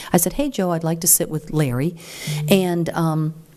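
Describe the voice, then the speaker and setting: Amid noticeable background noise, a woman speaks in an animated tone at a very deep, low pitch. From Venezuela, raised in Central and South America, Africa and Europe. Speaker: nonprofit leader and activist speaker. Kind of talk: speech to a meeting. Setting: stage with audience. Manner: fast; animated, conversational.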